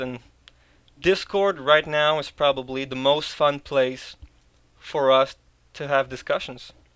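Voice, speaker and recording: A man with a Quebec accent and a fairly high pitch. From Quebec, Canada. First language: French. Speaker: video producer, discord server member. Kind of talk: interview. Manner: casual, hesitant with repetitions.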